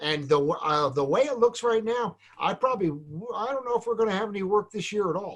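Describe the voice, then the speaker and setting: At a fairly quick pace with hardly any pauses, a man with an American accent speaks in a high pitch with lively intonation. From New Jersey, Point Pleasant. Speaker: salon business educator. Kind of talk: casual chat.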